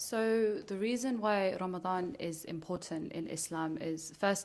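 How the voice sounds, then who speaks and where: A woman with a fairly low voice speaks at a moderate pace and with ordinary pitch variation, in a room with audible echo. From England. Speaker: teacher. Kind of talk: podcast interview.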